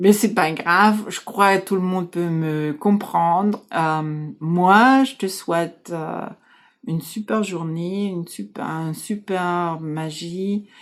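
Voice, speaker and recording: Recorded very cleanly with a silent background, a woman with a German accent speaks at a very slow pace in a fairly low voice with ordinary pitch variation. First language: German (speaking French). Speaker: life coach. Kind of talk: casual talk to camera. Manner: halting.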